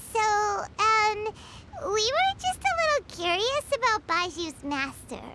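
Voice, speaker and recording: A woman puts on a character voice with an extremely high pitch and very wide pitch swings, speaking at a fairly slow pace. Loud background noise fills the clip. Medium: video game. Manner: calm, curious.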